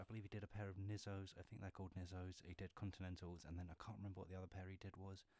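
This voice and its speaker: In a flat monotone, a man with a very deep, low voice speaks over dry sound with no echo. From England. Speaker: ASMR and gaming YouTuber. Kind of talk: casual talk to camera, shoe collection show-and-tell. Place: home room.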